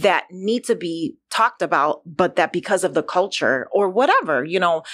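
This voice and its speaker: A woman with an American accent speaks at a moderate pace with lively intonation. She has an unremarkable speaking voice, and the recording is very clean with a silent background. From United States. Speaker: content creator. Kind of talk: interview conversation.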